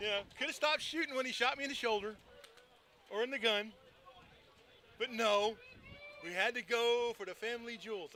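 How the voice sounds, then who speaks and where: A man's raised, projected voice at an extremely high pitch, with an American accent, a fairly quick pace, ordinary pitch variation and long, frequent pauses, over noticeable background noise. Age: 60s. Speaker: paintball commentator. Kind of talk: live commentary. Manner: animated.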